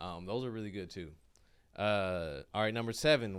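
This man has a normal speaking voice, fairly low in pitch, with ordinary pitch variation. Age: 30s. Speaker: comedian. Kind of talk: casual chat. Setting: studio.

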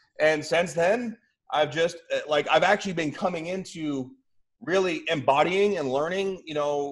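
A man with an unremarkable speaking voice talks at a moderate pace, pitched fairly high with ordinary pitch variation. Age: 40s. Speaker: bodybuilder and spiritual coach. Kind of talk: casual chat.

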